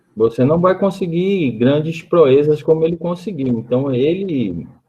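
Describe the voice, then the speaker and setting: This man's voice sits fairly high and carries a calm tone. He speaks fairly slowly with lively intonation. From São Paulo state, Santos. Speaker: researcher, panel participant. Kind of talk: online panel discussion. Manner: halting, many repetitions.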